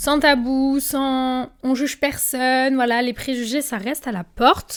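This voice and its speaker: The recording is very clean, with a silent background. A woman speaks in an animated tone. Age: 20s. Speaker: influencer and podcast host. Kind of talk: casual podcast monologue. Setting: filmed podcast, seated in armchair.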